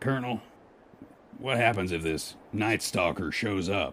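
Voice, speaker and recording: A man puts on a raspy character voice at fairly low pitch. He speaks at a moderate pace. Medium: audio drama. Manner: folksy, wry.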